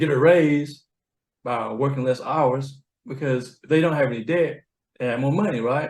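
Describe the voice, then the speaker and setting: A man with a Southern US accent speaks at a moderate pace. His pitch is fairly high. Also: fairly even intonation. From US South. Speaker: accounting professional, money coach. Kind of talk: interview conversation. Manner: slurred.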